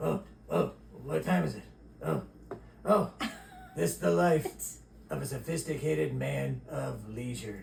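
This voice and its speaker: In a cartoonish character voice, a man speaks with a very deep, low pitch at a fairly slow pace, with long, frequent pauses and clear background noise. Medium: puppet. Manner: groggy, broken English.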